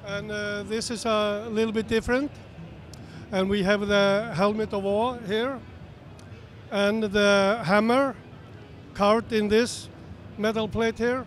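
A man with an Icelandic accent speaks at a high pitch in a monotone, flat intonation, at a fairly slow pace with long, frequent pauses. The sound is dry with no echo, with light background noise. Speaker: guitar builder. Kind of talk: trade show interview. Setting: trade show floor. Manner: halting. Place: hall. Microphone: handheld.

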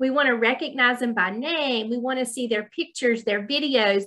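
In a Southern US accent, a woman talks at a moderate pace with a high pitch, a bright, sharp tone and ordinary pitch variation against a quiet background. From US South. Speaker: college dean. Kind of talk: webinar presentation. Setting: video call. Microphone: video call.

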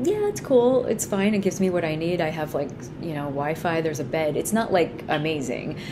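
Noticeable background noise fills the recording. Over it, a woman speaks fairly quickly. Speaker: astrology reader. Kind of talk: astrology forecast talk. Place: home room. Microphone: phone near.

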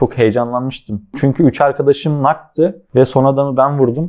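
A man delivers his words in an ordinary speaking voice, moving at a moderate pace with ordinary pitch variation. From Aydın, Turkey. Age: 20s. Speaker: professional mobile esports player. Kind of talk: casual interview.

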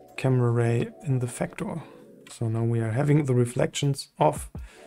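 There is a man speaking. Faint music plays in the background behind him. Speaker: 3D software tutor. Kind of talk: tutorial.

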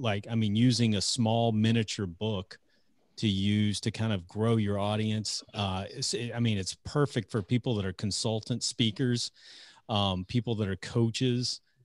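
Here a man with a plain, everyday voice speaks fairly low and at a fairly slow pace, his intonation fairly even. The background is quiet and the sound is dry, with no echo. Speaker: podcast host. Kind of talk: podcast intro. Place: home room. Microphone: studio mic.

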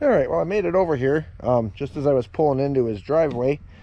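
A man's dark, mellow tone at a moderate pace, dry with no echo. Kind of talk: casual vlog chat. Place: farm machine. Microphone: phone near.

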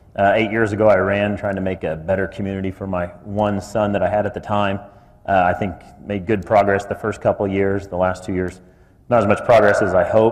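A man speaks at a fairly quick pace with a Midwestern American accent. His fairly low voice stays monotone and flat. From Kansas. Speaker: city commission candidate. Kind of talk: candidate forum statement.

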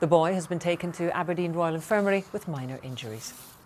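Speaking at a fairly quick pace with a Scottish accent, a woman has a fairly low pitch over light background noise. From Scotland. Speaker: news presenter. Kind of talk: news reading. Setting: studio. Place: studio. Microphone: lapel.

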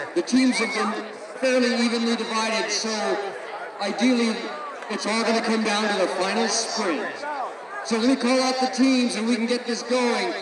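A man talks while loud background noise fills the clip. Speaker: meet announcer. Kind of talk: commentary. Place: stadium. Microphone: pa.

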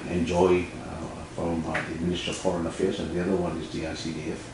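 A man speaks with a very deep, low pitch. Light background noise and audible room echo are present. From Tuvalu. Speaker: ambassador. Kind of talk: interview. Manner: halting. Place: studio.

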